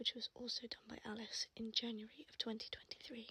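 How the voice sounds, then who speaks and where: Soft-spoken and calm in tone, the voice moves at a fairly quick pace. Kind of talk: ASMR tattoo tour, casual talk to camera. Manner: soft-spoken, calm.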